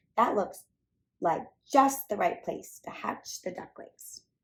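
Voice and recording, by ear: A woman's put-on character voice at medium pitch, slow, with vocal fry, a slightly husky edge and lively intonation.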